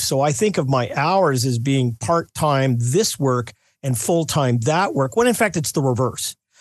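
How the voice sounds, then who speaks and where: A man with an ordinary speaking voice, fairly high pitch, lively intonation and moderate pace, against a quiet background. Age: 60s. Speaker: pollster, polling company executive. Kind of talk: radio interview.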